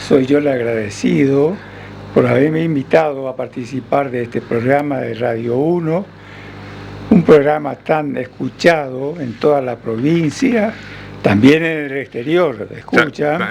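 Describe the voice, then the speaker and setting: Against noticeable background noise, a man talks at a fairly slow pace and fairly high pitch, with ordinary pitch variation. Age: 80s+. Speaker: doctor. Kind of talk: radio interview answer.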